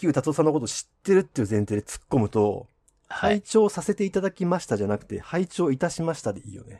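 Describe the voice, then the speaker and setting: Very fast and full of very wide pitch swings and big swings in loudness, a man's dark, mellow voice comes through dry and close with no echo. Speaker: podcast host. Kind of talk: casual chat.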